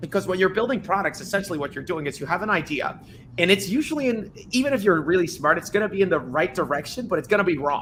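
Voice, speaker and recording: Over noticeable background noise, a man talks very fast in a high voice with lively intonation. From Dominican Republic. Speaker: tech startup founder. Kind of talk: podcast interview.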